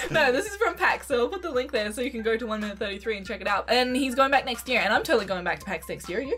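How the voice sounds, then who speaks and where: Over faint music in the background, a woman with an Australian accent talks very fast at a high pitch with lively intonation and hardly any pauses. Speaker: gaming YouTuber. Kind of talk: casual talk to camera. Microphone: webcam.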